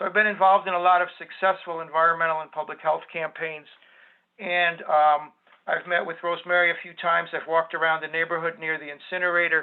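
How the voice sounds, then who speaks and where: The speech races at a very fast pace in a flat monotone, with big swings in loudness. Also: man, high pitch for a man. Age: 60s. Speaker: teacher and environmental advocate. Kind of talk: self-introduction at an online meeting.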